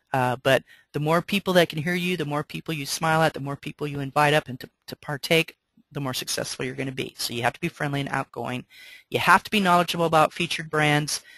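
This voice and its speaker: A woman with a very deep, low pitch, talking very fast with fairly even intonation and big swings in loudness, dry and close with no echo against a quiet background. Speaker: business owner giving staff orientation. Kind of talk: orientation presentation.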